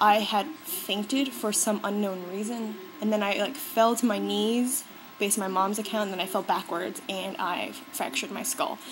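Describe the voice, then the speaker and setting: Against noticeable background noise, someone with an American accent talks at a moderate pace with ordinary pitch variation. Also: woman. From US. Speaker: beauty vlogger. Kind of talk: casual vlog talk. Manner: animated.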